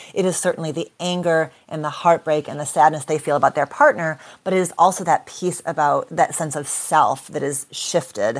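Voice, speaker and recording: A woman with an ordinary speaking voice talks at a moderate pace in a fairly low pitch, her intonation fairly even and hardly any pauses breaking it up. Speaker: clinical psychologist. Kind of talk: interview discussion.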